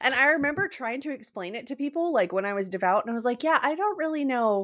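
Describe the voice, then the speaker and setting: A woman talks at a fairly quick pace in an animated tone. Her pitch swings very widely. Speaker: podcaster. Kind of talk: casual chat.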